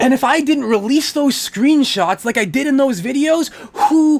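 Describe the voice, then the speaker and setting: A man's voice over noticeable background noise. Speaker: YouTuber ranting on dating topics. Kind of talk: rant. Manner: fast, jittery; stuttering.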